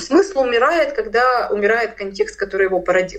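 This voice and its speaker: The pitch of this woman's voice swings very widely. She keeps a fairly quick pace. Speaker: philosopher and cultural studies lecturer. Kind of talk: radio interview, lecture-like explanation.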